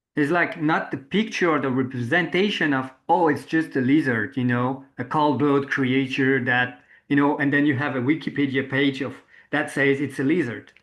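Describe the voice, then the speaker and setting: Speaking at a moderate pace, a man with a fairly high pitch keeps fairly even intonation against a quiet background. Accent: French. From France. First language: French. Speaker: interviewer, permaculture practitioner. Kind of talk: reflective interview conversation. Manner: halting, searching for words.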